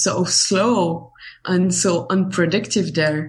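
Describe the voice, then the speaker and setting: In an Algerian accent, a woman speaks very slowly and somewhat breathily, her medium pitch carried by lively intonation. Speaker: writer. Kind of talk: casual interview chat. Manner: halting.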